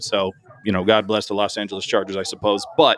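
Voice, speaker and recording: A man rattles along at a very fast pace in a fairly low pitch, with noticeable background noise behind him. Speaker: sports show host. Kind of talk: casual sports analysis chat. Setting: live stream. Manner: rambling, self-interrupting.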